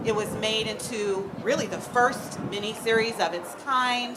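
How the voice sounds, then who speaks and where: A woman's fairly high voice with an American accent, fairly slow and fairly even in intonation, amid noticeable background noise and audible room echo. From US West Coast, Oakland. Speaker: children's book author. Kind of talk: live panel Q&A. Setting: stage with audience.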